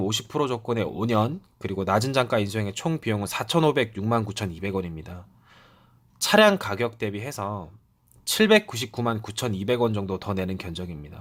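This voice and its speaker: Lively in intonation, a man speaks at a moderate pace with fairly low pitch. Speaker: car rental salesperson. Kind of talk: sales explainer video. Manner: hesitant with fillers; polite, formal.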